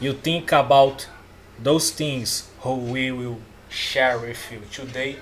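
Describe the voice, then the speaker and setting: Speaking very slowly, a man keeps fairly even intonation at a medium pitch while his loudness swings a lot. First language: not English. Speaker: self-help coach. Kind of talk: casual talk-style course. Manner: halting.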